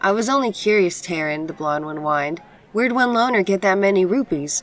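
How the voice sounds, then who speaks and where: Putting on a whiny character voice, a woman speaks at a fairly quick pace in a medium pitch. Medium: read story. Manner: whiny, dismissive.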